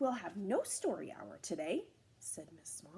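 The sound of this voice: A reading voice, unforced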